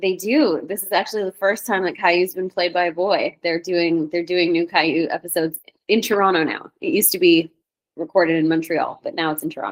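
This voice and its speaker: Speaking at a fairly quick pace, a woman has an unremarkable speaking voice with a fairly low pitch and fairly even intonation. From Canada. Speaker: voice actor. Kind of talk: casual interview.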